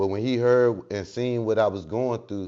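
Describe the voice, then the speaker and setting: Ordinary pitch variation colors a man's speech, which keeps a moderate pace. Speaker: recovery mentor, podcast guest. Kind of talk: casual interview chat. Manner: halting.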